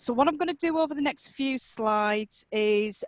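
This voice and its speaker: Against a quiet background, a woman with a Yorkshire accent speaks at a moderate pace with ordinary pitch variation, the sound dry and close with no echo. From Yorkshire, England. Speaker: occupational therapist and academic. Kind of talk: conference presentation.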